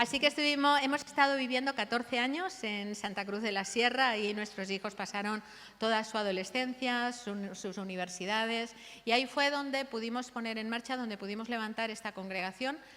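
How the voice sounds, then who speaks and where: A bright, sharp tone at a fairly quick pace with ordinary pitch variation, in a Catalan accent. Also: woman, fairly high pitch for a woman. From Catalonia, Barcelona area. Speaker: missionary pastor. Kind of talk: testimony.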